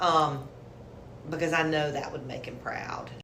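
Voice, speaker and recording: A woman with a Southern US accent speaks at a moderate pace in a very deep, low pitch with ordinary pitch variation, amid audible room echo and noticeable background noise. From South Carolina, Hartsville. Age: 60s. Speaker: lawyer. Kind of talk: interview.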